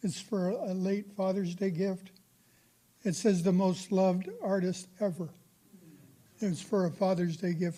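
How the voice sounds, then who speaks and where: A man with an American accent, high-pitched, at a fairly slow pace. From San Francisco, California. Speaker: amateur painter. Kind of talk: artist talk to audience. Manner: halting.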